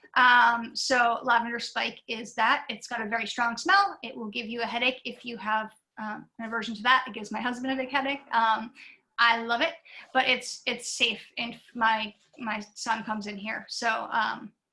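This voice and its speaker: Using a plain, everyday voice, a woman talks at a moderate pace with a fairly high pitch, fairly even intonation and big swings in loudness. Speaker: visiting artist, portrait painter. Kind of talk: artist lecture Q&A. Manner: casual, many fillers.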